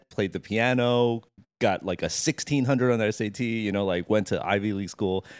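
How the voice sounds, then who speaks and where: This is a plain, everyday voice with an American accent. It moves at a moderate pace, and the sound is dry and close with no echo. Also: man. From New Jersey, Monmouth County. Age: 40s. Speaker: streetwear designer. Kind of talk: interview.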